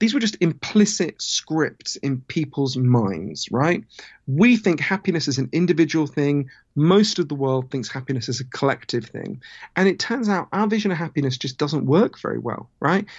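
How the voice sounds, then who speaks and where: Somewhat breathy, a man talks at a moderate pace with lively intonation and a fairly high pitch. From Britain. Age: 30s. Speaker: author. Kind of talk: interview.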